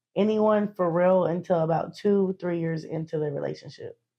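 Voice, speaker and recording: The voice has a Southern US accent. Its intonation stays fairly even. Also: woman. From western North Carolina. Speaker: interviewee. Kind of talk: interview. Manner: casual.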